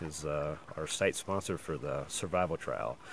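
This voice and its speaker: A man speaks quietly in a very deep, low voice at a moderate pace. His intonation stays fairly even, and there is noticeable background noise. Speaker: race organizer giving live updates. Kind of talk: outdoor live update report. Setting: outdoors in backcountry. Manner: quiet, hushed; hesitant, many fillers.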